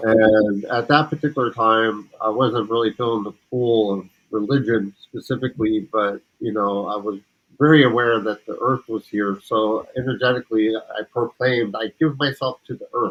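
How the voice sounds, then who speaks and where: A man's normal speaking voice at medium pitch, moderate in pace, with fairly even intonation. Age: 50s. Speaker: community participant sharing personal story. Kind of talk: personal testimony.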